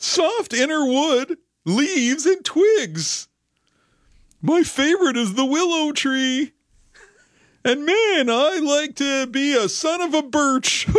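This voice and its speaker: A put-on character voice, high in pitch, moves at a fairly slow pace. Long pauses come often. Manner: goofy, comic.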